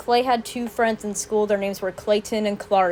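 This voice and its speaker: Noticeable background noise runs behind a woman's voice. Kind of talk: casual Q&A talk to camera.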